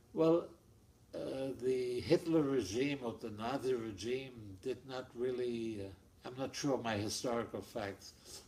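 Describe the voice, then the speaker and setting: This man talks at a fairly slow pace with a German accent, his pitch medium and its variation ordinary. Noticeable background noise sits behind him. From Germany. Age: 80s+. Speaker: Holocaust-era refugee, family interviewee. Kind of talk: oral history interview. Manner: halting, repetitive.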